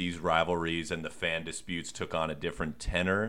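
A man speaks at a fairly slow pace with a General American accent. His tone is bright and sharp. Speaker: sports podcast host. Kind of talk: casual interview.

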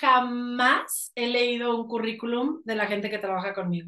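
The speaker's bright, sharp voice moves at a fairly slow pace with ordinary pitch variation. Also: woman. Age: 30s. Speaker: life coach and actress. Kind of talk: interview conversation.

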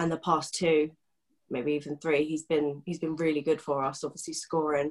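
Delivered in a southern English accent, the speech has a monotone, flat intonation. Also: woman. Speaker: football fan guest. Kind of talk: casual chat.

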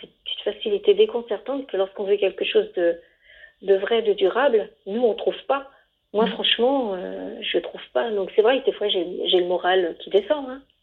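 Her loudness rises and falls in big swings. This woman talks at a moderate pace. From Savoie, France. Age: 50s. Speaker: interviewee. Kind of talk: interview. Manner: hesitant, repeating words.

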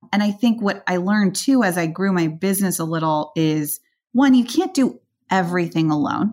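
A woman has an unremarkable speaking voice at medium pitch and a moderate pace. The recording is very clean with a silent background. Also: lively intonation. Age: 30s. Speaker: venture capital investor. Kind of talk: interview conversation.

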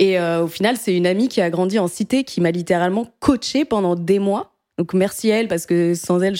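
A woman with a dark, mellow tone speaks at a fairly low pitch with ordinary pitch variation, in a very clean recording with a silent background and a dry, close sound with no echo. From France, Paris. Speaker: podcast host. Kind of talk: casual chat.

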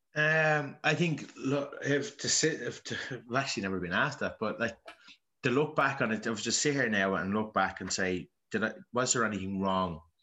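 A man with a Dublin accent speaks at a fairly low pitch in a bright, sharp tone. His intonation is lively against a quiet background. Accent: Dublin Irish. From Dublin, Ireland (Ballymun). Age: 30s. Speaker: Gaelic footballer. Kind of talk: personal testimony interview.

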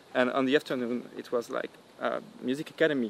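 A man speaks with a strong French accent. Noticeable background noise runs behind him. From Normandy, France. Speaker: electronic musician being interviewed.

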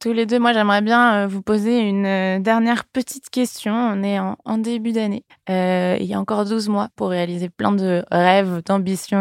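Heard in a dry, close sound with no echo, a woman with a plain, everyday voice speaks fairly slowly at a medium pitch with fairly even intonation. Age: 20s. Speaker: podcast host and entrepreneur. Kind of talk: interview. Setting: company offices.

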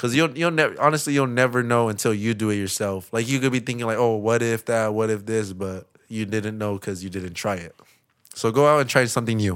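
An unremarkable speaking voice with an American accent, fairly quick pace and ordinary pitch variation. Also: man, medium pitch for a man. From US West Coast, East Los Angeles. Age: 20s. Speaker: skateboarder. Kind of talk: casual chat.

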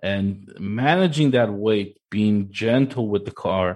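A man with an ordinary speaking voice, fairly low in pitch and lively in intonation, over a quiet background. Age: 30s. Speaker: sim racing coach. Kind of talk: casual chat.

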